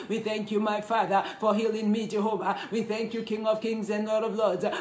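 A man with a high pitch speaks at a fairly quick pace in a warm, animated tone. Audible room echo and light background noise are present. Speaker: prayer leader. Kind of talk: fervent intercessory prayer, live online. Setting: live online prayer session, away from home. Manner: fervent, repetitive, praise-filled, pleading; warm, animated greeter. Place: home room. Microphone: phone near.

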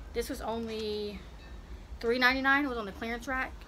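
Light background noise runs under the clip. A woman speaks at a fairly quick pace. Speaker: vlogger. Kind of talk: casual try-on haul chat. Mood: upbeat, enthusiastic. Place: street. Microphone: phone near.

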